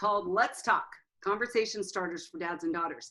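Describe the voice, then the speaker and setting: A woman talks at a medium pitch in an unremarkable speaking voice. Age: 60s. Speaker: counselor and author. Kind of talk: interview.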